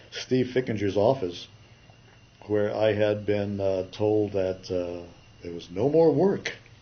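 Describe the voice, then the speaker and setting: A man with an American accent talks at a very slow pace in a fairly low pitch. His pitch variation is ordinary. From California. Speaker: retired animation artist. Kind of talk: interview. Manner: halting.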